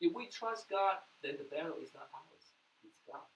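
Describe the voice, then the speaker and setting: A man at a fairly slow pace, pitched extremely high, with very wide swings in pitch. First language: Mandarin. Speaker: pastor. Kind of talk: sermon.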